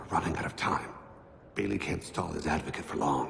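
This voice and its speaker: A man's cartoonish character voice, very deep and low, at a fairly quick pace with clear echo and clear background noise. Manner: calm, formal.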